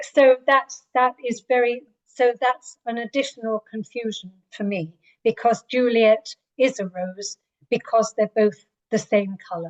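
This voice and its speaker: A woman's fairly high voice with an English accent, at a fairly slow pace, with ordinary pitch variation and a dry, close sound with no echo. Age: 60s. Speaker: writer. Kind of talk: interview. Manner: hesitant.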